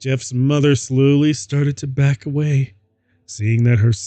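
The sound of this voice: The reading voice is unforced, with fairly even intonation. Behind it, the background stays quiet.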